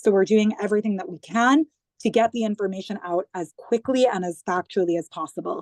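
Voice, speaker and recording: A woman with an American accent talks at a fairly quick pace in a plain, everyday voice, medium in pitch with ordinary pitch variation. Her loudness swings widely, and the sound is dry and close with no echo. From US, New York. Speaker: government digital communications head. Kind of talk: interview.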